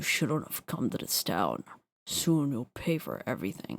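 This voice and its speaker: Putting on a character voice, a man sounds gruff and hoarse at medium pitch. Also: moderate pace. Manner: threatening.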